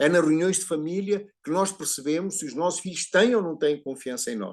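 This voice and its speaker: Against a quiet background, a man speaks with a Portuguese accent at a moderate pace. His voice is high, with ordinary pitch variation. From Portugal. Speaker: psychologist speaking at a prayer group. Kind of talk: talk on family systems and education. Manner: halting, repeats words.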